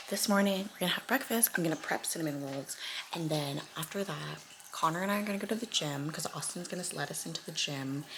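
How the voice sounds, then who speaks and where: A woman's fairly low voice at a very fast pace, with ordinary pitch variation and noticeable background noise. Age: 20s. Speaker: lifestyle vlogger. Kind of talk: casual vlog.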